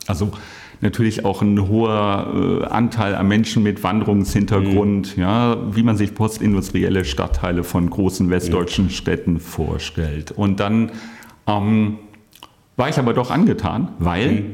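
At a fairly slow pace, a man with a normal speaking voice talks in a fairly low pitch, with ordinary pitch variation and very even loudness. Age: 50s. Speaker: IT workforce manager. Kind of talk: casual interview.

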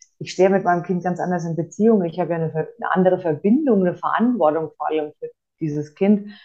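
Speaking at a very fast pace, a woman uses a fairly low pitch with ordinary variation. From Franconia, Germany. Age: 30s. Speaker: course participant, single mother. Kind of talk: interview testimony. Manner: hesitant, many filler sounds.

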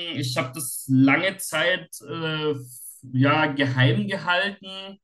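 Music plays behind a man with a fairly high pitch who speaks very slowly with ordinary pitch variation. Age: 40s. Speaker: self-help group leader with OCD. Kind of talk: casual interview. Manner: halting.

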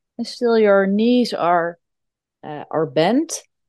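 A woman with a Dutch accent speaks at a very slow pace with very wide pitch swings. The sound is dry and close with no echo, over a quiet background. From Netherlands. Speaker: yoga teacher. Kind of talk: casual chat; guided movement instruction.

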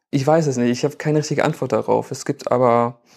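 Keeping his intonation fairly even, a man speaks at a medium pitch in an ordinary speaking voice. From Germany, Bielefeld. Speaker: photographer and filmmaker. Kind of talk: casual interview.

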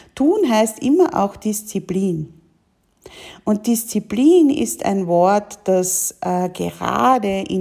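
Speaking very slowly, a woman is captured in a very clean recording with nothing but silence behind her. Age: 40s. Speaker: women's coach and mentor, podcast host. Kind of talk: solo podcast monologue.

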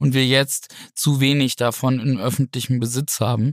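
Recorded very cleanly against a silent background, a man speaks at a moderate pace and medium pitch, with a dry, close sound and no echo. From northern Germany, Flensburg (Schleswig-Holstein). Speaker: politician, member of European Parliament. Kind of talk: podcast discussion.

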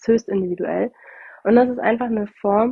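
A woman speaks in a monotone with flat intonation. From northern Germany. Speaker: podcast host, bereavement doula and coach. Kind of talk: solo podcast talk. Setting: recording at her parents' home. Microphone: without her usual microphone, sound differs.

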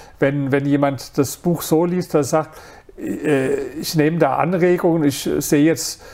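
A man with a fairly high pitch keeps a moderate pace and fairly even intonation while noticeable background noise sounds behind him. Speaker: author and entrepreneur. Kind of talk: interview.

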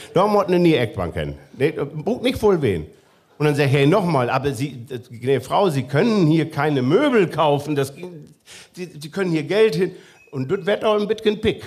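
A man with an unremarkable speaking voice at a moderate pace. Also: fairly high pitch for a man, lively intonation. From northwest Germany, near Osnabrück. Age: 40s. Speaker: musician. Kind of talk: casual chat. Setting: stage with audience.

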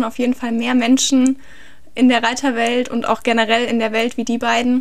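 Speaking in a high pitch, a woman keeps a monotone, flat intonation at a moderate pace. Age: 20s. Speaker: horse trainer and equine physiotherapist. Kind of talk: interview. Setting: home recording with partner.

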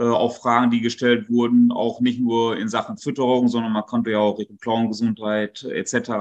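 Delivered in a monotone, flat intonation with hardly any pauses, the speech sits over noticeable background noise. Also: man, medium pitch for a man, moderate pace. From North Rhine-Westphalia near Dutch border. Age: 40s. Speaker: dairy farmer. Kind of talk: interview.

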